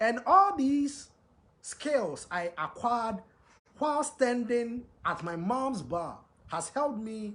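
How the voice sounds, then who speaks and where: A man talks at a very slow pace with long, frequent pauses. His pitch is extremely high, and his intonation is lively. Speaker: live show host and self-styled crown prince. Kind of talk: monologue on a livestream. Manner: repetitive, emphatic.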